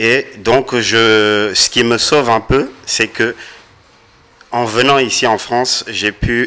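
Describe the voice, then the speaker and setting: A man speaks at a very slow pace in a medium pitch, his intonation fairly even. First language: Kikongo (speaking French). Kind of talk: casual discussion.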